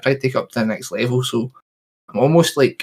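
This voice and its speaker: Very fast, somewhat breathy delivery from a man with a medium pitch. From Scotland. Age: 20s. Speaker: rapper. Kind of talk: interview.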